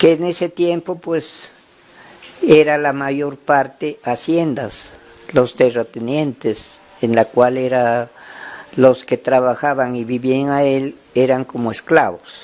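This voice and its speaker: A man at a medium pitch with ordinary pitch variation and a very slow pace. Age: 80s+. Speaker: former peasant union leader, farmer. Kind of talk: interview answer, oral history.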